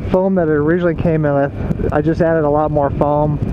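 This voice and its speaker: Moderate pace, with noticeable background noise. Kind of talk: casual vlog chat. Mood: relaxed, upbeat. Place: motorbike. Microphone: helmet.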